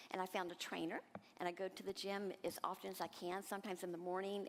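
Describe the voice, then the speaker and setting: A woman's fairly low voice at a very fast pace, with fairly even intonation. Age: 60s. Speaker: transition coach, program participant. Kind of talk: testimonial talk on stage. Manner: halting, with fillers and restarts.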